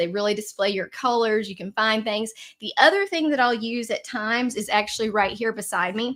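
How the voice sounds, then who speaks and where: A woman's fairly high voice with a Southern accent, on a very clean recording with a silent background. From Tennessee, Nashville. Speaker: card maker. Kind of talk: live Q&A. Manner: casual, with fillers.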